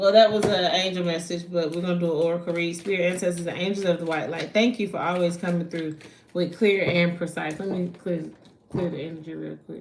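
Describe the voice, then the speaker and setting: A woman with an American accent talks at a very fast pace in a fairly low pitch, with big swings in loudness. Audible room echo and noticeable background noise surround her. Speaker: spiritual card reader. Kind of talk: live stream tarot reading. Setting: livestream at night. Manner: animated.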